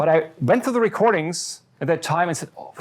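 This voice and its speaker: A man's voice is captured in a very clean recording with a silent background. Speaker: professor. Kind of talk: lecture. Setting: lecture hall with audience. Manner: fast.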